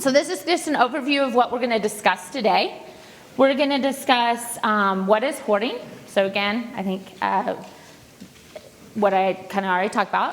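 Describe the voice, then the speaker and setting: Against noticeable background noise, a woman with a high pitch speaks with lively intonation. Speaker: counselor. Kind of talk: presentation to an audience.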